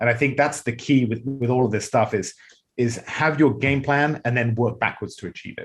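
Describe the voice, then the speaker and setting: The man's medium-pitched, somewhat breathy voice moves at a moderate pace with fairly even intonation. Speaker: real estate agent and investor. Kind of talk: podcast interview.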